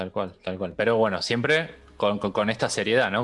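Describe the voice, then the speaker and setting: Speaking with an Argentine accent at a moderate pace, a man has a fairly low pitch. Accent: Argentine Spanish (Rioplatense). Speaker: podcast host. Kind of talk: casual chat.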